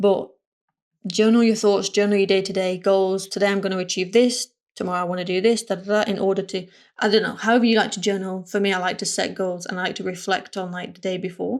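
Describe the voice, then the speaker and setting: Very fast speech from a woman at a medium pitch, monotone and flat in intonation, on a very clean recording with a silent background. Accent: northern English. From northern England. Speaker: motion designer and content creator. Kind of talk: casual vlog talk.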